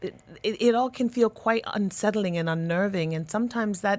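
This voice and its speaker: A woman with a Canadian accent has an unremarkable speaking voice at a medium pitch with ordinary pitch variation. She talks at a moderate pace in a dry, close sound with no echo. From Canada. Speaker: education and career consultant. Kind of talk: radio interview.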